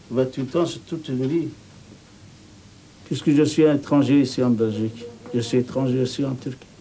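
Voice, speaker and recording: A man at medium pitch speaks at a moderate pace with fairly even intonation. He leaves long, frequent pauses. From Turkey. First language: Turkish (speaking French). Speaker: immigrant worker interviewee. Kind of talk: documentary interview.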